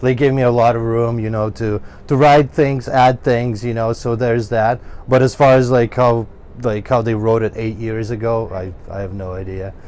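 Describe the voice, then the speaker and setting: A man with a slight Ukrainian accent talks at a moderate pace with fairly even intonation over noticeable background noise. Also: medium pitch for a man. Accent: Ukrainian accent, usually slight. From Ukraine. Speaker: guitarist in a metal band. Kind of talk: casual interview. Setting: recording studio. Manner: halting, many fillers.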